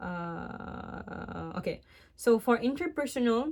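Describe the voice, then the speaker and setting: With a non-native accent, a woman speaks at a fairly high pitch with lively intonation. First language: not English. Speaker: vlogger giving relationship advice. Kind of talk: casual advice monologue, partly read from laptop. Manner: hesitant, self-correcting.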